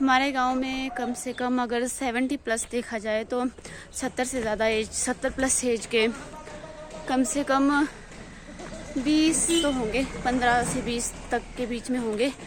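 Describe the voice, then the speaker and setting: Music plays behind a woman speaking. Her voice is high in pitch and monotone, with flat intonation. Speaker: village vlogger. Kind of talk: casual talk to camera.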